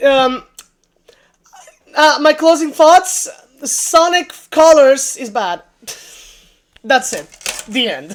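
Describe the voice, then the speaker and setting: A woman with a non-native accent and a high pitch speaks very slowly with long, frequent pauses and lively intonation. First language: not English. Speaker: vtuber streamer. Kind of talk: casual livestream chat. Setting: livestream.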